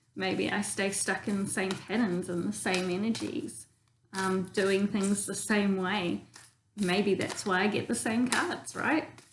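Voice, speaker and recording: This woman talks at a fairly slow pace with a New Zealand accent and ordinary pitch variation. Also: medium pitch for a woman. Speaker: tarot reader. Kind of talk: casual tarot reading demonstration. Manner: casual, many filler ums.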